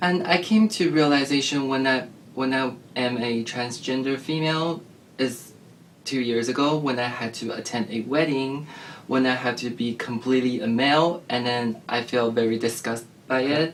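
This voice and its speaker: A man speaks with a Chinese accent. His pitch sits at a medium level. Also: ordinary pitch variation, moderate pace. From China. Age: 20s. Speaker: transgender guest sharing experience. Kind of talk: interview.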